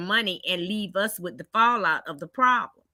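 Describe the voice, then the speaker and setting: At a moderate pace, a woman speaks at medium pitch with a bright, sharp tone and ordinary pitch variation. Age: 60s. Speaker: community resident and advocate. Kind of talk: panel discussion. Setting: video call.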